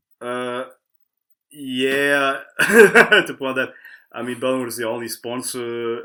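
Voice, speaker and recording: A man with a German accent speaks at a fairly slow pace in a bright, sharp tone of medium pitch, with fairly even intonation, on a very clean recording with a silent background. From southern Germany, Karlsruhe. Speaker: fingerboarder. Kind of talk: casual podcast interview. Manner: halting.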